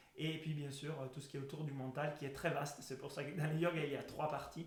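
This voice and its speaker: A man talks at a fairly quick pace, his pitch fairly high. Audible room echo and noticeable background noise fill the recording. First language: Italian (speaking French). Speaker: breathing method instructor. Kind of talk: educational talk. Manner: halting.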